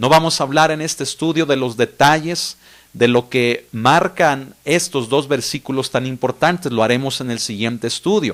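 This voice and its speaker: A man with a plain, everyday voice, medium pitch, ordinary pitch variation, and a moderate pace. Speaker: pastor. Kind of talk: bible study teaching.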